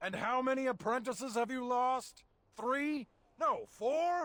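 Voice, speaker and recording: A man puts on a character voice, pitched extremely high and delivered at a fairly slow pace. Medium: video game.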